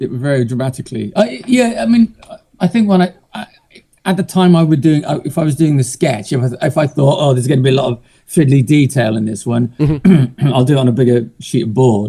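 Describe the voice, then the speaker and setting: Dark and mellow, somewhat breathy, a man's fairly quick delivery. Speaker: illustrator. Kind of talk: interview answer.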